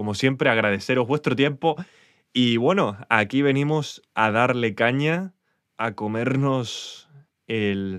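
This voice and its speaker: A man speaks at a medium pitch with lively intonation and a very slow pace. The recording is very clean with a silent background. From Spain. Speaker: podcaster. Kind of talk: solo monologue update. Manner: hesitant.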